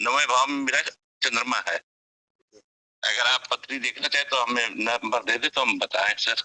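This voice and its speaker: Recorded dry and close with no echo, a man talks at very even loudness with long, frequent pauses. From Lucknow, northern India. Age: 60s. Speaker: astrology enthusiast asking questions. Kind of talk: question and answer on online class.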